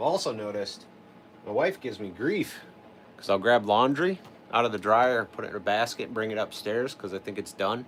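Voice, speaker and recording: A man speaks at a fairly quick pace in a normal speaking voice, his intonation lively. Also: medium pitch for a man. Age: 40s. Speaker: chainsaw carver. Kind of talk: casual chat. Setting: livestream.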